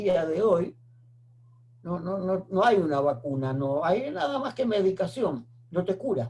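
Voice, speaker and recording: With a dark, mellow tone and a high pitch, a man speaks fairly slowly with very wide pitch swings. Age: 80s+. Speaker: retired microbiologist, oral history interviewee. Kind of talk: oral history interview. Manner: halting, with fillers.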